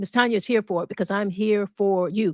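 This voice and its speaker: In a very clean recording with a silent background, a woman speaks in an animated tone. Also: dry, close sound with no echo. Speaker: talk show host. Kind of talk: livestream talk show monologue. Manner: animated, conversational.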